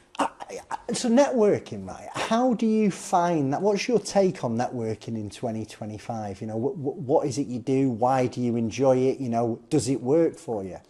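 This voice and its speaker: Noticeable background noise surrounds a man speaking at medium pitch with very wide pitch swings. He hardly pauses at all. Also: moderate pace. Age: 40s. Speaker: podcast host, business advisor. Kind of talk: casual interview chat.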